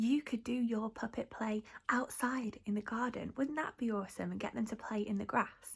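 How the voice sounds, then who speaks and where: A woman is whispering. Her voice sounds somewhat breathy. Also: moderate pace. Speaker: youth theatre practitioner. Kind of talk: tutorial. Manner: animated.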